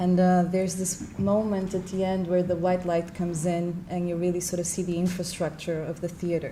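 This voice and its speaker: Speaking at a moderate pace with an Argentine accent, a woman keeps a monotone, flat intonation at a fairly low pitch, with audible room echo. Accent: Argentinian. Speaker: moderator. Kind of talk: panel conversation.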